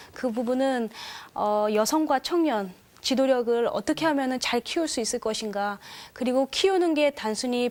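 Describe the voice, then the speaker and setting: The recording is very clean, with a silent background. A woman speaks at a moderate pace in a high voice with lively intonation. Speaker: panel guest, church youth leader. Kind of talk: panel discussion.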